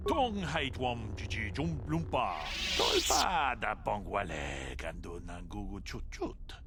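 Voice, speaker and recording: A man speaks in a put-on character voice at a fairly slow pace. The background noise is loud. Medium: video game.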